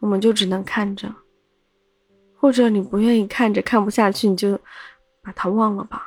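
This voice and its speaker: A woman's medium-pitched voice, monotone and flat, at a moderate pace with long, frequent pauses. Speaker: podcast host, storyteller. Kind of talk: casual storytelling monologue.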